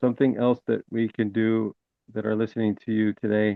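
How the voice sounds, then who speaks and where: At a moderate pace, a man talks with a medium pitch and monotone, flat intonation. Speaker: webinar participant. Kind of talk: Q&A discussion.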